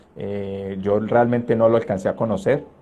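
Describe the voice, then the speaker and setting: A man's pitch varies in an ordinary way as he speaks at a moderate speed. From Colombia, Caldas. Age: 30s. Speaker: trombonist. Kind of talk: interview. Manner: hesitant, many fillers.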